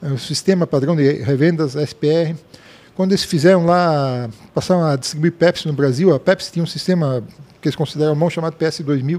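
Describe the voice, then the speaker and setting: A man with a plain, everyday voice, fairly high in pitch, at a moderate pace and with fairly even intonation. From Blumenau, southern Brazil. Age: 60s. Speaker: retired software company founder. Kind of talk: interview.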